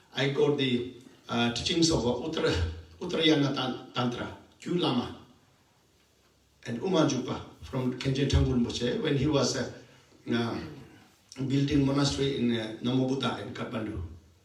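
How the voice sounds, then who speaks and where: Background noise is noticeable and room echo is audible as a man speaks at medium pitch and a moderate pace. He leaves long, frequent pauses, with ordinary pitch variation. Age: 60s. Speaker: Buddhist teacher. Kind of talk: dharma talk. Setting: meditation center. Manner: halting.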